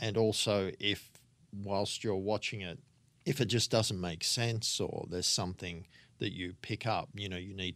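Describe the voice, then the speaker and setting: On a very clean recording with a silent background, a man talks at a moderate pace. He has an Australian accent and a fairly low pitch. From Australia, Sydney northern beaches. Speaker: film editor. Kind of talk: interview. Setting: office on a film studio lot.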